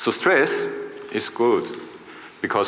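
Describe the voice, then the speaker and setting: A man at a moderate pace with an Austrian accent, plus audible room echo and noticeable background noise. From Austria, Vienna. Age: 40s. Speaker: conference speaker. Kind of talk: keynote talk. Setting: stage with audience.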